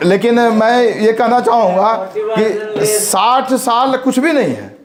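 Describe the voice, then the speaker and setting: Noticeable background noise is heard as the intonation holds fairly even. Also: man, high pitch for a man. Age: 60s. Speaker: college principal. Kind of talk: speech. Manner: halting.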